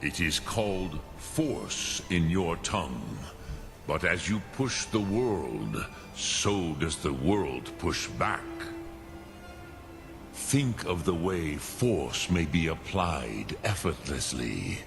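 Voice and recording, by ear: With clear music in the background, a man puts on a character voice at extremely low pitch, speaking slowly with vocal fry and big pitch swings.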